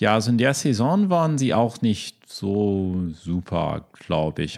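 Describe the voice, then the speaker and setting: A man with an English accent, medium pitch, and lively intonation on a very clean recording with a silent background. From US, Chicago. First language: English (speaking German). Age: 30s. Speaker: lawyer. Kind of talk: casual chat. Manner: halting, many fillers.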